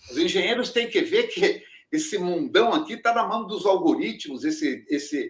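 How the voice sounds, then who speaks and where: At a moderate pace, a man talks with an extremely high pitch and very wide pitch swings. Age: 70s. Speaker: engineering professor. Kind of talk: interview.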